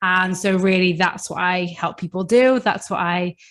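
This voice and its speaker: A woman with a British accent, medium pitch, fairly even intonation and a fairly slow pace. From UK. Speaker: coach and podcast host. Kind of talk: podcast interview. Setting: remote call.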